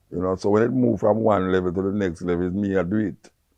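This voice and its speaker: A man with a Jamaican accent, fairly low pitch and moderate pace. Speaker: radio host and dub poet. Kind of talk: interview answer. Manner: casual, spontaneous.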